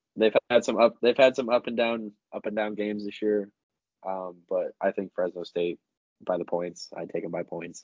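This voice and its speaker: A man speaks in a normal speaking voice at a fairly low pitch. His pace is moderate and his intonation fairly even. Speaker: sports betting podcast co-host. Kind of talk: casual chat.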